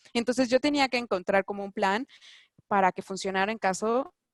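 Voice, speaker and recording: In a Mexican accent, a woman speaks fairly quickly at a medium pitch with ordinary pitch variation. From Mexico. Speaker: doctor living abroad. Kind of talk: interview. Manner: halting, many fillers and restarts.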